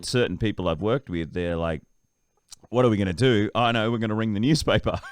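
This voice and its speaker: A man speaks with an Australian accent. His pace is fairly quick and his pitch swings very widely. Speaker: voice-over artist and TV presenter. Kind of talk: interview answer.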